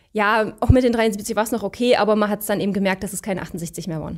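Speech comes at a fairly quick pace with fairly even intonation against a quiet background. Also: woman, big swings in loudness. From Saxony, eastern Germany (Leipzig); Saxony. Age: 30s. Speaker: coaching client. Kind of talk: interview. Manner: hesitant, many fillers. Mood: relaxed, smiling. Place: studio. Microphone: handheld.

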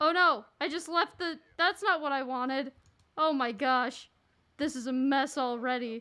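A woman speaks in a raised, projected voice with a bright, sharp tone. Her pace is fairly slow, and the background is quiet. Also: ordinary pitch variation. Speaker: gaming livestreamer. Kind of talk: casual gaming livestream chat. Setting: online voice chat while streaming. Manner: animated. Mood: flustered, confused. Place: home room. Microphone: studio mic.

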